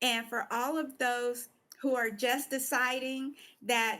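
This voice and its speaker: Over a very clean recording with a silent background, a woman uses a raised, projected voice. Her high pitch holds a monotone, flat intonation. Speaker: talk show host and pastor. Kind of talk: casual chat. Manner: halting.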